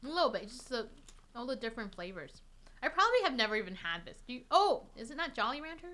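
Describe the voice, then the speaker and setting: A woman races along at a very fast pace in a high pitch, her bright, sharp tone leaping through very wide pitch swings. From Taiwan. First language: Chinese. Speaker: violinist. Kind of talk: casual chat.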